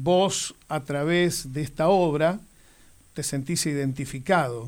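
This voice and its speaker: Speaking very slowly with fairly even intonation, a man with an Argentine accent and a fairly high pitch is heard on a very clean recording with a silent background. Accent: Rioplatense Argentine Spanish. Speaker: radio host. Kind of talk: interview.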